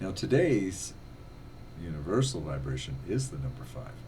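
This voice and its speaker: A man's very deep, low voice with lively intonation at a moderate pace, plus audible room echo. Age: 60s. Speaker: religious video blogger. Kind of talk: religious monologue.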